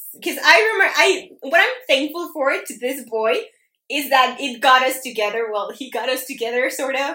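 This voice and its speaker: Her voice is raised and projected, high in pitch, with lively intonation and a bright, sharp tone. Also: moderate pace. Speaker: podcast co-host. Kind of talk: casual chat.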